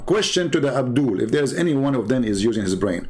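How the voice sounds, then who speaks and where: With audible room echo around him, a man's voice makes very wide pitch swings. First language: Arabic. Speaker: religious debater. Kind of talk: live stream commentary. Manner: animated.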